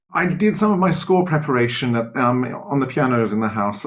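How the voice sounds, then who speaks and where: Speaking very fast with ordinary pitch variation and an Australian accent, this voice comes through over noticeable background noise. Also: man. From Australia, Sydney. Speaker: choral conductor and music teacher. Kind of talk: interview. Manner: hesitant, many fillers.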